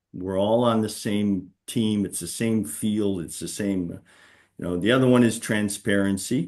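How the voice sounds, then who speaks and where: A normal speaking voice moves at a fairly slow pace with fairly even intonation over a quiet background. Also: man, fairly low pitch for a man. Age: 60s. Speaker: senior executive. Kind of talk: panel discussion webinar.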